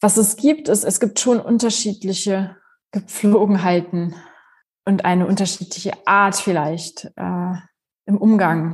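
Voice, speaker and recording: Against a quiet background, a woman talks at a very slow pace in a somewhat breathy, medium-pitched voice with ordinary pitch variation. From Germany. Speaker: philosophy professor. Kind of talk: interview.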